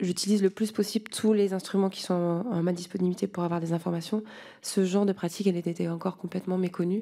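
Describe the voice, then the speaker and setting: At a fairly quick pace, a woman speaks at medium pitch with monotone, flat intonation and a dark, mellow tone. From France. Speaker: lobbying researcher. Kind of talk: parliamentary hearing testimony. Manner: hesitant.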